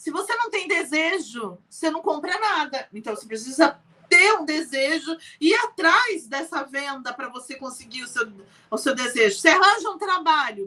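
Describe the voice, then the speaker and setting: In a raised, projected voice, a woman talks at a moderate pace with a high pitch, an animated tone, very wide pitch swings and big swings in loudness. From Brazil. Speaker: entrepreneur. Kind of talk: interview.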